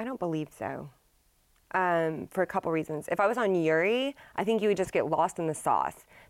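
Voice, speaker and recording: Speaking in a normal speaking voice, a woman with a fairly low pitch talks at a fairly quick pace with lively intonation on a very clean recording with a silent background. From Texas, Dallas area. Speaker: business owner. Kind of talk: casual interview.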